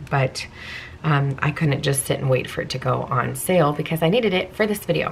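A woman uses a raspy, put-on character voice pitched very deep and low. She talks at a fairly quick pace over light background noise.

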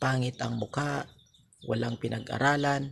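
The man's pace is very slow. His medium-pitched voice holds a fairly even intonation. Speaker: video blogger. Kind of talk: monologue to camera, moral advice.

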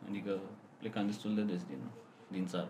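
Audible room echo follows a man as he speaks. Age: 20s. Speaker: software developer. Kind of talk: casual chat.

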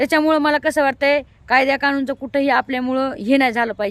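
The high-pitched voice of a woman, with ordinary pitch variation, sounds dry and close with no echo. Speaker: vlogger. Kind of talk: vlog monologue. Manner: animated.

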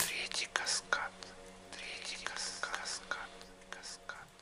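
Whispering at a very slow pace, a man speaks. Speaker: audiobook narrator. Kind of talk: audiobook reading. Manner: whispered; slow, soothing. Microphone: studio mic.

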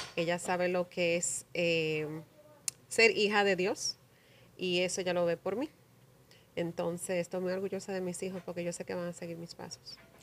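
Over light background noise, a woman with a fairly low pitch talks at a moderate pace, her intonation fairly even and her pauses long and frequent. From New Jersey, US (Paterson), Dominican mother; New Jersey. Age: 40s. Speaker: community leader; podcast guest. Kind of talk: interview. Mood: warm, reflective, proud. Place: studio. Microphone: studio mic.

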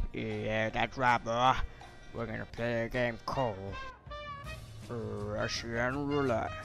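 A man's put-on character voice at medium pitch, fairly slow with long, frequent pauses, over clear music in the background. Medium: machinima. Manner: condescending.

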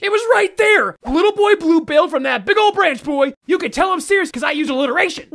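In a cartoonish character voice, the speaker goes extremely high in pitch and very fast, with hardly any pauses. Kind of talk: comic overacting. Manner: frantic, overexcited, defensive.

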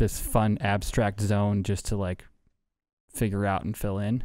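A man speaks with an American accent in a fairly low, monotone, flat voice. The sound is dry with no echo and a quiet background. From US Midwest, South Side of Chicago; Chicago. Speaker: artist, illustrator; guest. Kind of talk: casual chat. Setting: studio. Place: studio. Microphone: studio mic.

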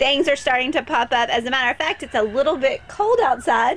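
A woman speaks with a high pitch and lively intonation. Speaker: local TV interviewer. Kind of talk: interview hosting, presenter talk. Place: garden.

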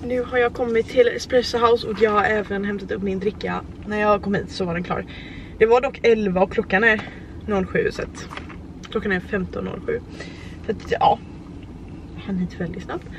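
Pausing long and often, a woman speaks with fairly even intonation in a dry sound with no echo over light background noise. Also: moderate pace. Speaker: vlogger. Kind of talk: casual vlog chat. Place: car. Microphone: phone near.

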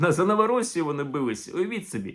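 On a very clean recording with a silent background, a man speaks in an animated tone with a high pitch and lively intonation. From Ukraine. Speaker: historian and video blogger. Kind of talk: video commentary.

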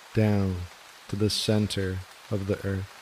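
Noticeable background noise sits behind a man's voice. He speaks in a soothing tone at a very slow pace. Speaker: meditation guide. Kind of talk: guided meditation. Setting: studio with gentle rain background sound. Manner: slow, soothing.

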